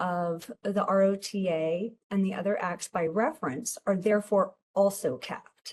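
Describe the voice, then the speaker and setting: Her voice is somewhat breathy and medium in pitch. The woman speaks at a fairly slow pace. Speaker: tax agency presenter. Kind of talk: webinar presentation. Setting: online webinar.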